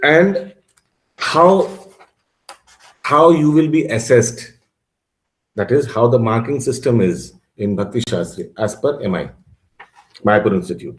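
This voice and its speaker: Delivered in a Bengali accent at a fairly slow pace, the speech is somewhat breathy, has very wide pitch swings, and breaks into long, frequent pauses. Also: man, medium pitch for a man. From Bengal, India. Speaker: religious course teacher. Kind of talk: online class lecture. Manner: halting, many fillers and restarts.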